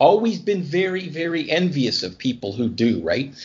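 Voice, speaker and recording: With a Canadian accent and vocal fry, a man speaks at a moderate pace, his fairly high pitch carried by lively intonation. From Canada, New Brunswick. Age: 50s. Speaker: comic writer. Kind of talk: casual interview.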